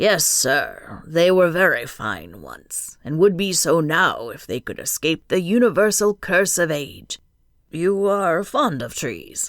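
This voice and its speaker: A woman uses a raspy, put-on character voice with big swings in loudness. The recording is very clean, with a silent background. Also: fairly low pitch for a woman, fairly slow pace, lively intonation. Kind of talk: early twentieth century period speech. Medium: read story. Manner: courteous, unhurried, formal.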